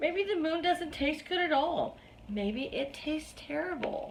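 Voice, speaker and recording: A woman in a put-on character voice, extremely high in pitch, at a moderate pace against clear background noise. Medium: read story. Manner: chirping.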